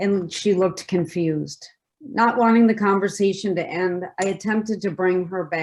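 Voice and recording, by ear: Against a quiet backdrop, the text is read aloud in a natural voice.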